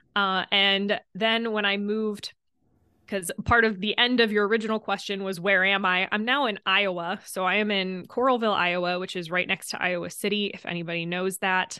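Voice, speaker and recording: With an American accent, a woman talks at medium pitch and a moderate pace. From northwestern Pennsylvania. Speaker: holistic health coach and personal trainer. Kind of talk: casual interview chat. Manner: animated, emphatic, talks with hands.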